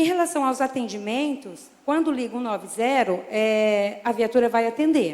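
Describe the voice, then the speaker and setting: A woman speaks fairly slowly at a high pitch, her voice swinging very widely up and down. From interior of São Paulo state, Brazil. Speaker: military police sergeant. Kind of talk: public hearing statement. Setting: city council public hearing. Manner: informal, conversational.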